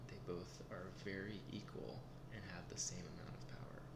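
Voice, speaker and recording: A man speaks softly. Noticeable background noise can be heard behind him. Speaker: chess teacher in role play. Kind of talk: ASMR role play tutorial. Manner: soft-spoken.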